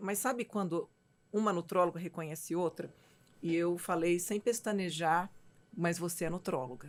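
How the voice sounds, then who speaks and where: On a very clean recording with a silent background, a woman with an unremarkable speaking voice and fairly low pitch talks at a moderate pace with fairly even intonation. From Minas Gerais, Brazil. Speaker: physician and mentor, show host. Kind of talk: casual chat.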